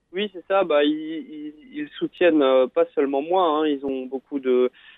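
Ordinary pitch variation at a fairly slow pace. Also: man. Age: 30s. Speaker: paratriathlete. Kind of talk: radio interview. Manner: halting, many fillers and repetitions.

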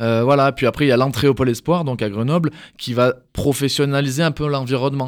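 With a normal speaking voice, a man talks fairly quickly at a medium pitch, his intonation fairly even. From southeastern France (Drôme). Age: 20s. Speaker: judoka. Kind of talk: interview. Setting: studio.

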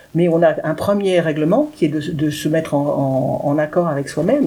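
Music plays in the background as a woman talks at a fairly low pitch. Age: 60s. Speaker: writer and speaker with paraplegia. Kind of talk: radio interview. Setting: dark radio studio.

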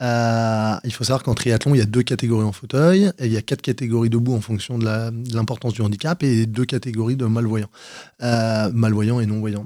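A man speaks at a moderate pace in a medium pitch with a dark, mellow tone. The recording is very clean, with a silent background. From Paris region, France. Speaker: paratriathlete. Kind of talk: radio interview. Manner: energetic.

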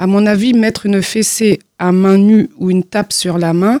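A woman's medium-pitched voice in a dark, mellow tone, at a moderate pace with fairly even intonation, dry and close with no echo. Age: young. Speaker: job-training trainee. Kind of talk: radio interview. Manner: halting.

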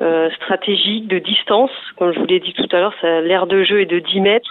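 Over noticeable background noise, a woman at a medium pitch speaks at a fairly slow pace with fairly even intonation. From Provence-Alpes-Côte d'Azur, France. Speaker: sports federation director. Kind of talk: radio interview.

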